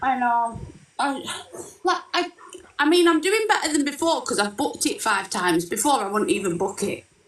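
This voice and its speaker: In a northern English accent, a woman with a high pitch speaks at a moderate pace, her voice making very wide pitch swings. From northern England, Lancashire. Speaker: caller. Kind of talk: casual chat.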